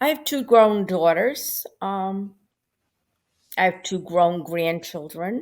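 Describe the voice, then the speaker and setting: A woman with an American accent, very slow and broken by long, frequent pauses. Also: medium pitch for a woman. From US Northeast, Rhode Island. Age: 70s. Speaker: recovering alcoholic guest. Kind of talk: interview testimony.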